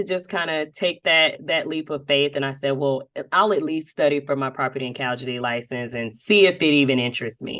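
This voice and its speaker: Animated in tone, a woman with a Southern US accent talks at a fairly quick pace. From US South, Dothan, Alabama. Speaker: insurance marketing executive. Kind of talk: podcast interview. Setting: podcast interview. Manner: animated, many fillers.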